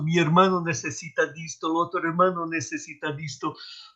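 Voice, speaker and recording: Speaking at a fairly slow pace, a man with a Portuguese accent has a high pitch and a bright, sharp tone. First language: Portuguese (speaking Spanish). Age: old. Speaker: retreat participant. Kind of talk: group sharing.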